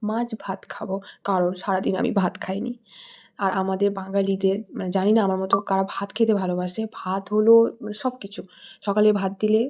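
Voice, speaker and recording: This woman's intonation stays flat and monotone. Her voice sits at a medium pitch. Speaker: vlogger. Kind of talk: cooking vlog. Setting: home kitchen.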